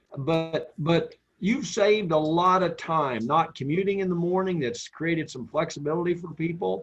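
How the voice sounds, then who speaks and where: A man with an American accent speaks at a high pitch and a moderate pace. He leaves hardly any pauses, with music in the background. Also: ordinary pitch variation. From US Midwest (Western Kansas, near Oklahoma). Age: old. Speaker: printing company executive. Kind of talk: panel discussion. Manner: repetitive stammering starts.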